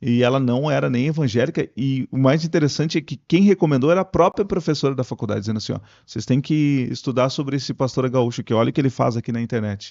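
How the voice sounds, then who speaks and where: A man at medium pitch and a very fast pace, with hardly any pauses, ordinary pitch variation, and a dry, close sound with no echo. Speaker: radio broadcaster and pastor. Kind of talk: podcast interview answer. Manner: casual, conversational.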